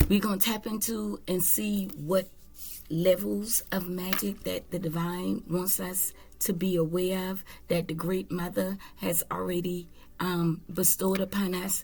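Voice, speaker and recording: A woman speaks at a fairly low pitch and a fairly slow pace. Her voice is somewhat breathy, with ordinary pitch variation. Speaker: tarot reader. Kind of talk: spiritual reading monologue. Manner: casual, conversational.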